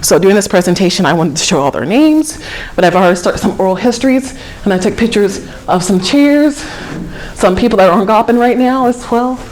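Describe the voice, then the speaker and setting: A woman's medium-pitched voice with an American accent, a very fast pace and lively intonation, plus audible room echo and noticeable background noise. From Georgia, US South. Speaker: historic preservation program coordinator. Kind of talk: lecture.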